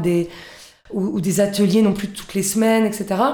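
Speaking at a moderate pace, a woman has a dark, mellow tone, medium pitch and fairly even intonation. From Corsica, Balagne. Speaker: cultural association founder. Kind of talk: interview. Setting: radio studio. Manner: hesitant, many fillers.

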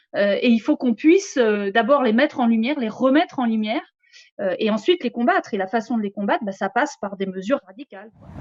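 A woman's fairly high voice, very fast, with lively intonation and big swings in loudness. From France, Picardy and southern France. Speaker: economics lecturer and activist spokesperson. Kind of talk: interview. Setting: live stream studio.

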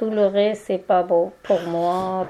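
The speaker is a woman with a medium pitch. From Turkey, Kurdish. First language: Kurdish and Turkish (speaking French). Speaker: migrant woman, language learner. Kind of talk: roundtable testimony. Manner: halting.

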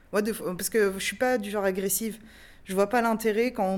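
The woman has a plain, everyday voice, medium in pitch, with fairly even intonation and a moderate pace. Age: 30s. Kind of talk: testimony.

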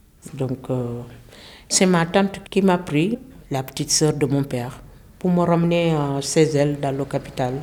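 Spoken with a Senegalese accent and a dark, mellow tone, the speech moves at a fairly slow pace with long, frequent pauses and ordinary pitch variation. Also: woman, very deep, low pitch for a woman. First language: Wolof (speaking French). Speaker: French language learner. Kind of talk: personal testimony.

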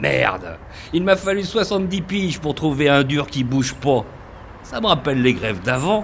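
Over clear background noise, a man puts on a gruff character voice at a fairly high pitch, his pitch swinging very widely as he speaks at a moderate pace. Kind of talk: radio drama acting. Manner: gruff, foul-mouthed, bitter.

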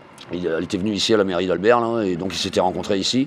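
Noticeable background noise runs through the clip. Over it, a man talks at a fairly quick pace. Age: 40s. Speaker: unemployed worker. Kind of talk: interview testimony. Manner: hesitant, many fillers.

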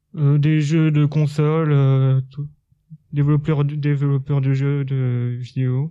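A man's fairly high-pitched voice at a very slow pace, monotone and flat in intonation, with very even loudness. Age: 20s. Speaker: sheltered workshop worker. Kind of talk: interview. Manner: halting.

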